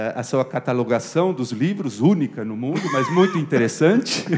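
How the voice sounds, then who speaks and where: The pace here is moderate. Intonation rises and falls in a lively way. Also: man. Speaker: physics professor. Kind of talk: testimony. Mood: warm, anecdotal, with some humor. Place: classroom. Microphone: handheld.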